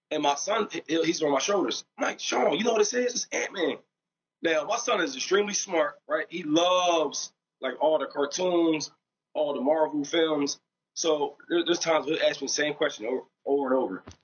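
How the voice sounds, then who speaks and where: In an ordinary speaking voice, a man talks at a moderate pace with fairly high pitch and lively intonation. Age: 30s. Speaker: father telling a story. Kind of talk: casual storytelling.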